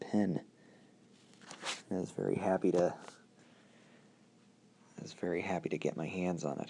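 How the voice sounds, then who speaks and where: Soft-spoken and relaxed, a man talks with a very deep, low pitch and a dark, mellow tone, leaving long, frequent pauses. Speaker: pin collector, video creator. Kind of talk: casual talk to camera, hobby show-and-tell. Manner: soft-spoken, relaxed.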